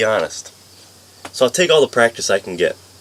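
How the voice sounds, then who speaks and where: Talking rather briskly with an American accent, a man is heard over clearly audible background noise. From upstate New York. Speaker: community college student. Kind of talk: class speech. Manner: fast when nervous.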